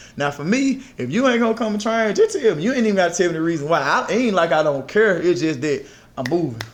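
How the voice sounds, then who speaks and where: Loud and at a very fast pace, a man speaks at a high pitch with very wide pitch swings. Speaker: fitness trainer. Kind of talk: casual podcast chat.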